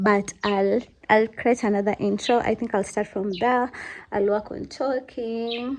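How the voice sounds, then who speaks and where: With an ordinary speaking voice, a woman talks at a fairly slow pace, her pitch fairly high and her intonation fairly even. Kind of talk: casual vlog talk.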